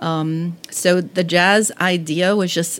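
Noticeable background noise runs under a woman's flat, monotone delivery. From New Orleans, Louisiana. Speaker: museum curator. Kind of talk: interview.

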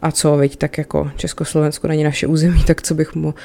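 Her pitch is very deep and low. The woman talks at a very fast pace. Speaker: history podcast host. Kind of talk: solo educational monologue. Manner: casual, conversational with fillers.

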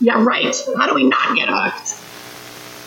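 Over noticeable background noise, a woman speaks at a fairly slow pace with a high pitch. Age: 50s. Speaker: parenting workshop speaker. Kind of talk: workshop talk.

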